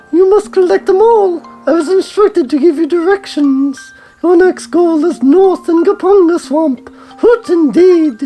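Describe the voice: A squeaky, put-on character voice at an extremely high pitch talks at a moderate pace over faint music in the background.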